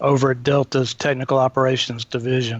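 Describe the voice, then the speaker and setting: In a dry, close sound with no echo, a man of medium pitch speaks with an Atlanta accent and flat, monotone intonation. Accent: Southern US (Atlanta). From Atlanta area, US South. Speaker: continuous improvement consultant. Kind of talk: podcast interview.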